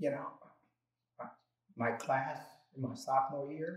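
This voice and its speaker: Somewhat breathy, the voice moves at a fairly slow pace with an American accent. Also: man. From New Milford, Connecticut. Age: 70s. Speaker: retired college counselor. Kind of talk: oral history interview answer.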